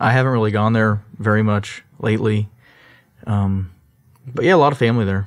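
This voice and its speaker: Speaking fairly quickly with fairly even intonation, a man uses an unremarkable speaking voice pitched fairly low. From Texas, Sugar Land (Houston area). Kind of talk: interview. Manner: casual, with fillers and repeats.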